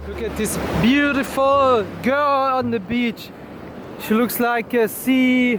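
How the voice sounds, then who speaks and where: Spoken very slowly in a German accent, the voice keeps fairly even intonation against noticeable background noise. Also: man, extremely high pitch for a man. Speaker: travel vlogger. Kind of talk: casual vlog chat. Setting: outdoors on beach.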